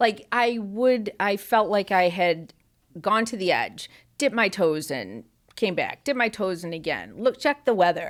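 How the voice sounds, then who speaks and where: A woman with an ordinary speaking voice and an American accent speaks at medium pitch with lively intonation in a very clean recording with a silent background. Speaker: farmer and store owner. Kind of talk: interview answer.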